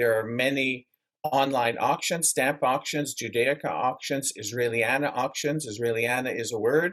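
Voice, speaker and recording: A man uses a normal speaking voice at a medium pitch, a moderate pace and fairly even intonation. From Canada. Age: 60s. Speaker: memorabilia collector. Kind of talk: interview.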